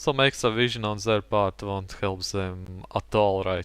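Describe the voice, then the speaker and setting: Speaking at a fairly slow pace with a non-native accent, a man has a fairly low pitch on a very clean recording with a silent background. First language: not English. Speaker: gaming commentator. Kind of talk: gameplay commentary.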